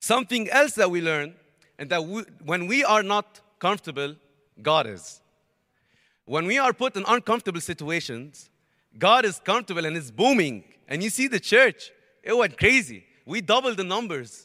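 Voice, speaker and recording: An animated, raised, projected man's voice, bright and sharp in tone, high-pitched with very wide pitch swings, at a moderate pace with long, frequent pauses. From Lebanon. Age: young. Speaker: university student. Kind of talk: testimony.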